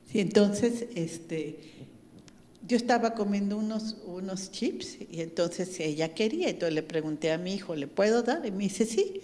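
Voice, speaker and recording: A woman with a dark, mellow tone talks with lively intonation. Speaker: pastor's wife. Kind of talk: testimony.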